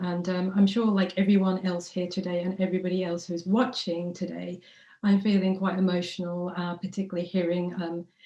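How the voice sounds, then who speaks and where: Somewhat breathy and dark, mellow in tone, a woman speaks at a fairly quick pace with monotone, flat intonation. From London, East End (Tower Hamlets). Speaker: rally speaker, anti-racism activist. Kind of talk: rally speech.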